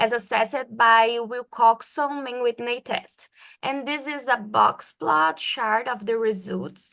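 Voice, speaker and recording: A woman speaks at a very slow pace with a Portuguese accent. Her pitch is high, and the background is quiet. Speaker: medical doctor and researcher. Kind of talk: research presentation.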